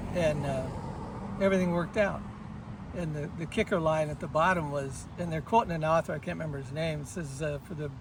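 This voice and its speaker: Through noticeable background noise comes a man's fairly high-pitched voice with an American accent. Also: fairly even intonation, fairly quick pace. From Kansas, US Midwest. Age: 60s. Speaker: long-distance hiker. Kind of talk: casual interview.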